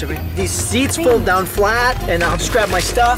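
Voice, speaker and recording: Speech at a moderate pace over music in the background. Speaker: actor. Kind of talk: TV commercial read.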